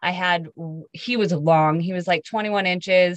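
A woman speaks at a medium pitch with fairly even intonation, in a plain, everyday voice. The sound is dry and close, with no echo. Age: 30s. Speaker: guest sharing fertility story. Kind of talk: interview.

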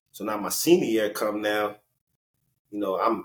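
In a New York accent, a man talks at a moderate pace and a medium pitch. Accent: New York urban. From New York (Elmont, Long Island / Brooklyn area). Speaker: former professional basketball player. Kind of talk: interview storytelling. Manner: animated.

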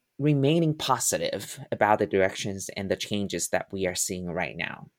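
A man speaks in a Mandarin accent. His pitch swings very widely. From Taiwan. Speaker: musical theater performer and acting professor. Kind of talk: interview. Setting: remote call.

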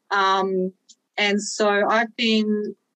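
A woman with an Australian accent speaks at a medium pitch in a dry, close sound with no echo. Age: 40s. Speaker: online fitness coach and powerlifter. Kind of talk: casual interview chat.

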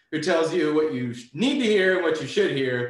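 Through noticeable background noise and audible room echo, a man with a fairly high pitch speaks at a fairly slow pace with lively intonation. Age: 30s. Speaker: coating company owner and detailer. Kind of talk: casual interview chat.

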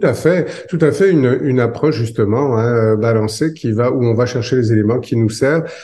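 A man's somewhat breathy voice with a dark, mellow tone, medium pitch, ordinary pitch variation, very even loudness, a moderate pace, and audible room echo. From France. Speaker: psychologist and author. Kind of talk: interview.

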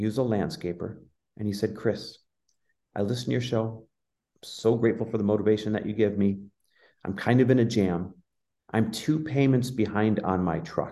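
A man's dark, mellow voice at a fairly low pitch and moderate pace, with ordinary pitch variation and big swings in loudness. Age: 40s. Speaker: entrepreneur and business coach. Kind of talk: interview conversation. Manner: animated.

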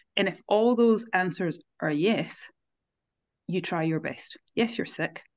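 Speaking at a very slow pace over a quiet background, a woman uses a medium-pitched voice with ordinary pitch variation. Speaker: co-host, mindset coach. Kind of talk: casual podcast chat.

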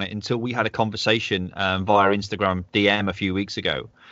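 A man is speaking. He has a Manchester accent. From northwest England, Manchester. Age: 40s. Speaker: podcast host. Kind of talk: casual interview chat.

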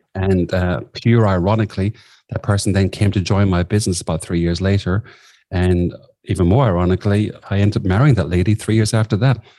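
Fast and fairly low, a man's Irish-accented voice has a dark, mellow tone, fairly even intonation and very even loudness at a very fast pace. The recording is very clean, with a silent background. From southwest Ireland. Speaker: executive coach. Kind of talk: interview.

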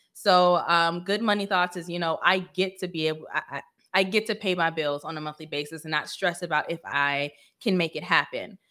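The voice has a bright, sharp tone with fairly even intonation at a moderate pace. The recording is very clean, with a silent background. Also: woman, fairly low pitch for a woman. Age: 30s. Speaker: financial coach. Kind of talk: casual monologue.

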